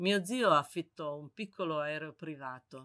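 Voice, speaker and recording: A woman's very deep, low voice with a bright, sharp tone, on a very clean recording with a silent background. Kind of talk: literary audiobook reading, first-person memoir-like narration. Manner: measured, evocative, lyrical narration.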